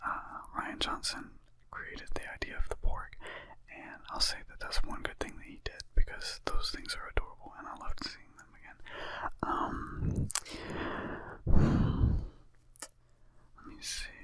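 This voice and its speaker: A man whispers at a fairly slow pace, with big swings in loudness, over noticeable background noise. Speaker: ASMR channel host who tells jokes and makes music. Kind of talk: ASMR movie review, casual talk to camera. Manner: casual, profane, conversational.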